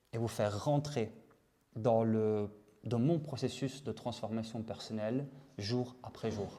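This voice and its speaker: A man speaks at a fairly slow pace in a dark, mellow tone, medium in pitch with fairly even intonation. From Italy. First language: Italian (speaking French). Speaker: vlogger. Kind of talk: personal video diary monologue. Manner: halting, many fillers and repetitions.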